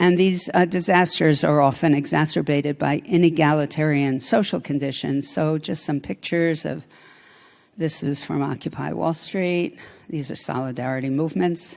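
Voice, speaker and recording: Speaking at a moderate pace, a woman uses a very deep, low pitch with ordinary pitch variation. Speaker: political philosophy professor. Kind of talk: lecture.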